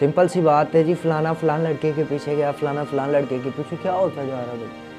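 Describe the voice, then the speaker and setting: A man's fairly high voice is heard with music in the background. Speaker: Urdu motivational speaker / comedy content creator. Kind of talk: motivational speech to camera. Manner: preachy, animated, lecturing.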